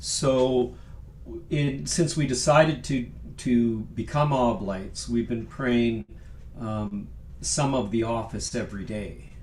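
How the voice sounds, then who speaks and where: A man speaks very slowly at a medium pitch with ordinary pitch variation, and audible room echo surrounds his voice. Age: 60s. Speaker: sacred music composer and singer. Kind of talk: casual chat. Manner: halting.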